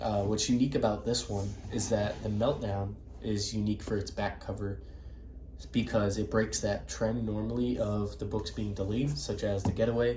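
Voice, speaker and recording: There is audible room echo on this recording. A man talks at a moderate pace. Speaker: book collector video creator. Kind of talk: show-and-tell collection walkthrough.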